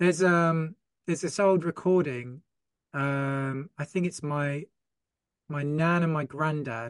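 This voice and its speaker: In a southern English accent, a man speaks at a fairly high pitch and a fairly slow pace, with fairly even intonation and long, frequent pauses, his voice dry and close with no echo. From Folkestone, Kent, southern England. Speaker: t-shirt brand owner. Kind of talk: casual chat.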